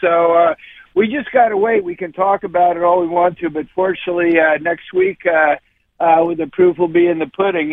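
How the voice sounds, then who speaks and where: A man talks with a high pitch. His pitch variation is ordinary. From Philadelphia. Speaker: caller. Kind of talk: call-in sports talk.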